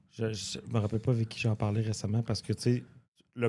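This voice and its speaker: A man at medium pitch in a dark, mellow tone, monotone and flat, at a fairly quick pace on a very clean recording with a silent background. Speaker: podcast host and comedian. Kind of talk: casual chat.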